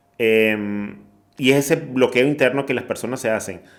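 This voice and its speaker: A man speaks in a medium pitch with ordinary pitch variation. He talks at a fairly slow pace. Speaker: podcast host. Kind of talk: interview question.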